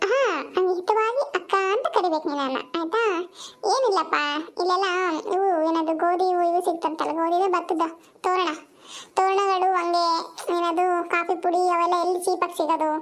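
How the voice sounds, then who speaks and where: A woman performs a cartoonish character voice at an extremely high pitch. Her loudness stays very even. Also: moderate pace, ordinary pitch variation. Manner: chatty, mixes English into Kannada.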